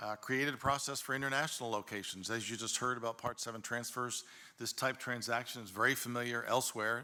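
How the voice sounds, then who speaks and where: This man talks at a very fast pace with an American accent. His bright, sharp tone carries a monotone, flat intonation. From northeast Oklahoma. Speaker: insurance commissioner, former state legislator. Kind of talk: committee presentation. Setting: legislative committee meeting. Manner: hesitant, with frequent fillers.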